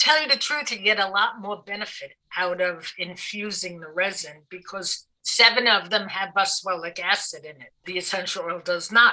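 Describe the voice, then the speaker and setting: A woman's bright, sharp Brooklyn accent at a medium pitch and moderate pace, with ordinary pitch variation, big swings in loudness and hardly any pauses. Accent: Brooklyn, still present. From New York City (Brooklyn). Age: 60s. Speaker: aromatherapist. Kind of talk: podcast interview.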